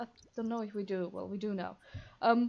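A woman uses a normal speaking voice with ordinary pitch variation. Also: quiet background. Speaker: gaming video creator. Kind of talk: casual gameplay commentary. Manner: chatty, rambling.

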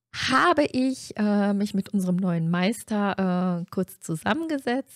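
The voice moves at a very slow pace with lively intonation. The background is quiet. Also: woman. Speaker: stream host of a tabletop role-play group. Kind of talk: casual stream introduction. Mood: cheerful, friendly. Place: home room. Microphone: studio mic.

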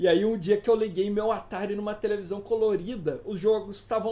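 A man's dark, mellow voice sits high in pitch. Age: 30s. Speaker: teacher. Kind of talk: lecture.

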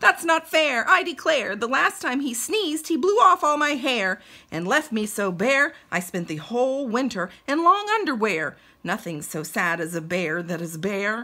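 A woman's put-on character voice, high-pitched, with very wide pitch swings and a moderate pace. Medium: read story. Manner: indignant, complaining.

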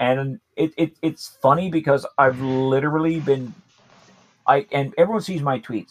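Speaking with an American accent at a fairly slow pace, a man has a fairly high pitch and ordinary pitch variation, with a dry, close sound and no echo. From United States. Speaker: podcast guest. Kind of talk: casual chat. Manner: animated.

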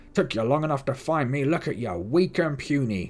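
Using a put-on character voice, a man speaks at a medium pitch with lively intonation. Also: fairly quick pace. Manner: mocking, contemptuous.

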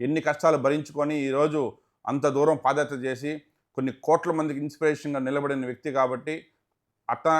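Against a quiet background, a man talks in a flat, monotone way at a fairly high pitch. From Tirupati, Andhra Pradesh (Rayalaseema), India. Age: 40s. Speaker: businessman and politician. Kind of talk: interview.

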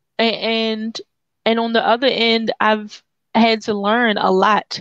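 An American accent over a quiet background, dry sound with no echo. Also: woman. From US Mid-Atlantic. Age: 30s. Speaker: documentary filmmaker and community worker; guest. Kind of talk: interview. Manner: halting. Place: home room. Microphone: headset.

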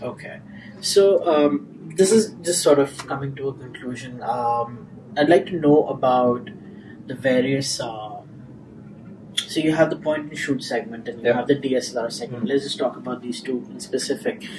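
Over noticeable background noise, a man talks with lively intonation and big swings in loudness. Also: moderate pace. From India. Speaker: tech journalist. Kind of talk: interview. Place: meeting room.

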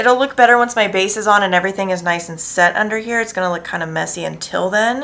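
The woman's intonation stays fairly even as she talks. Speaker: makeup vlogger. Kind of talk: tutorial. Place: home room.

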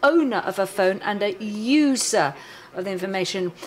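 A woman talks at a moderate pace with lively intonation. There is noticeable background noise. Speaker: forensic analyst presenting a workshop. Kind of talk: technical workshop lecture. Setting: conference room with live audience.

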